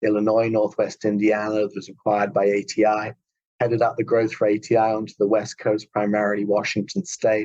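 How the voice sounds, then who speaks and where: The speaker goes at a fairly quick pace with an English accent. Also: man. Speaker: healthcare company CEO, physiotherapist. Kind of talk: podcast interview.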